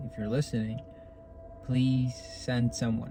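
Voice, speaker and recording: A man's medium-pitched voice at a fairly slow pace, with music in the background. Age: young. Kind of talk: casual talk to camera. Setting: in a car.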